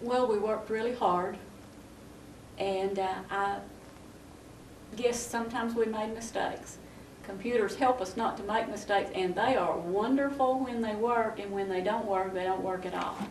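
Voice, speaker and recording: A woman's fairly high voice with fairly even intonation and long, frequent pauses, amid audible room echo and noticeable background noise. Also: moderate pace. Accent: Southern US. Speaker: county tax commissioner. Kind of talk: local TV interview.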